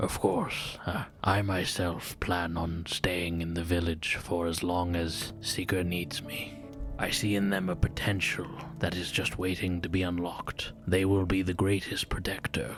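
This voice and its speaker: Over clear music in the background, a man puts on a character voice with a very deep, low pitch and a monotone, flat intonation. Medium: actual play. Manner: formal, grave.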